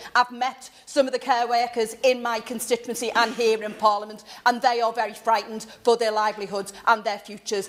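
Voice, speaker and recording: Noticeable background noise accompanies a woman speaking at a fairly quick pace. Her pitch is fairly high. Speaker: member of parliament. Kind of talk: parliamentary debate intervention. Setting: parliament chamber. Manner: loud.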